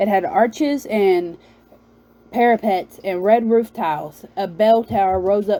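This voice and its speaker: The speaker is a woman with a Southern US accent. Her pitch varies in an ordinary way. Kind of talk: read-aloud novel. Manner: halting, self-correcting.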